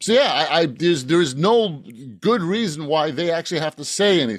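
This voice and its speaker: On a very clean recording with a silent background, a man with an American accent speaks at a moderate pace in a high voice with lively intonation. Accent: general American, avoids Boston. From Boston. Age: 60s. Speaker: author. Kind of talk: casual interview. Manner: halting, repeats words; animated.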